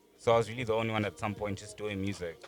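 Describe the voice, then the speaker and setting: A man's fairly low-pitched voice comes through with music playing behind it. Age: 20s. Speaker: rapper. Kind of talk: casual chat.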